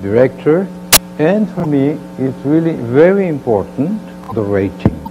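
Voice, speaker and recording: A man with a Mexican accent speaks at a medium pitch and a fairly slow pace, his pitch swinging very widely. Audible room echo and noticeable background noise fill the recording. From Mexico. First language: Spanish. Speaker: television producer and academic. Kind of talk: lecture. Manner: halting.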